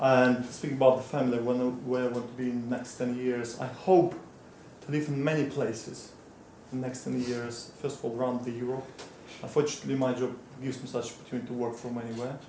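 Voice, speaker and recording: A man with medium pitch talks at a very fast pace in a flat monotone, with audible room echo and noticeable background noise. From Moldova. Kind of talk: short impromptu speech.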